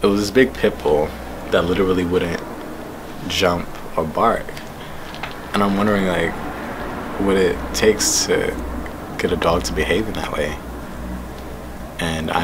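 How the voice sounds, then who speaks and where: A man's very deep, low voice at a moderate pace, broken by long, frequent pauses, with noticeable background noise and audible room echo. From Jamaica, Queens, New York. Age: 20s. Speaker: poet. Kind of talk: interview.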